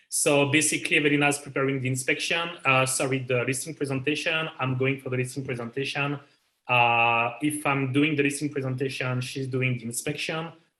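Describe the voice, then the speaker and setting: A man with a French accent talks at a fairly quick pace in a fairly high pitch. His tone is bright and sharp, but his intonation stays monotone and flat. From France. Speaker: realtor. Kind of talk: interview. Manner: halting.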